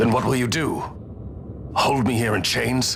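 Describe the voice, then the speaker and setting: A man's put-on character voice at medium pitch with very even loudness, over clear background noise. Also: moderate pace. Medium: video game.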